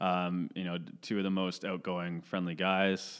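On a very clean recording with a silent background, a man with a Canadian accent speaks at a very deep, low pitch and a moderate pace. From Ontario, Canada (Caledon area). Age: 20s. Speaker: podcast co-host. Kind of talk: casual chat.

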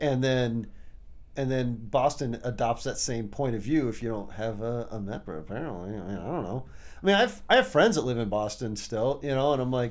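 This man's medium-pitched voice carries ordinary pitch variation as he talks at a moderate pace. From US Midwest, Champaign, Illinois. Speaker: rock drummer. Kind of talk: casual chat.

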